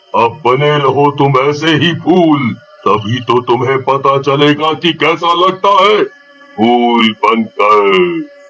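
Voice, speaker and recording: A cartoonish character voice speaks at a very slow pace in a menacing tone. Faint music plays in the background. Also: man, fairly high pitch for a man. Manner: menacing, gloating.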